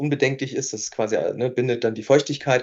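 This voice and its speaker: A man of medium pitch talks at a fairly quick pace, his intonation monotone and flat. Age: 30s. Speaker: entrepreneur and nutrition scientist. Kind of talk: casual chat.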